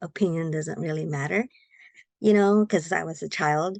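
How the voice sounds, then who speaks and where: A woman with a Filipino accent speaks at a fairly low pitch. The background is quiet, and the sound is dry and close with no echo. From Philippines. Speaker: guest. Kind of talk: interview. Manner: halting.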